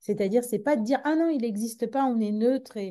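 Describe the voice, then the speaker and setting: A woman with a dark, mellow tone speaks over a quiet background. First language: Tamil (speaking French). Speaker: psychologist. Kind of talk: conference talk. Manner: halting with many repetitions.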